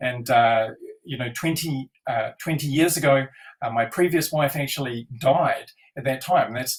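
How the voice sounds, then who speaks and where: A man with a fairly high pitch and a somewhat breathy voice speaks at a moderate pace with fairly even intonation. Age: 60s. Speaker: NLP trainer. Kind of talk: interview. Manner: halting.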